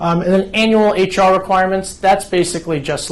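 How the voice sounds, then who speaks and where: Noticeable background noise runs under this recording. A man with an East Coast accent talks at a moderate pace. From New Jersey. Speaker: home care agency representative. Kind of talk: informational presentation.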